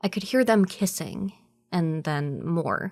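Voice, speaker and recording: A woman with a normal speaking voice and a fairly low pitch speaks at a fairly slow pace in a very clean recording with a silent background. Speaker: narrator and producer. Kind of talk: horror story narration.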